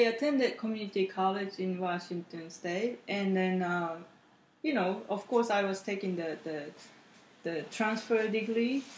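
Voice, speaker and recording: At a fairly slow pace, a woman speaks with a Japanese accent and a medium pitch. Noticeable background noise sits behind her. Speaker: podcast guest, host's partner. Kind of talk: casual chat.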